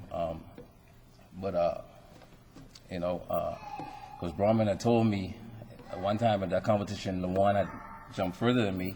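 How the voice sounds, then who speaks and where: With a Bahamian accent, a man with a fairly low pitch and fairly even intonation speaks at a moderate pace with long, frequent pauses, amid audible room echo and noticeable background noise. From Bahamas. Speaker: retired athlete, hall of fame inductee. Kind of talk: acceptance speech. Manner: halting, many fillers.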